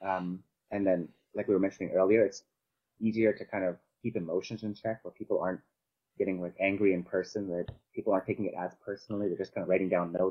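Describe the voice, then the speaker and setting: At a very fast pace, a man with a fairly low pitch speaks in a monotone, flat way. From Canada, Vancouver. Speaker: compositing artist and modeler. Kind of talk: casual chat.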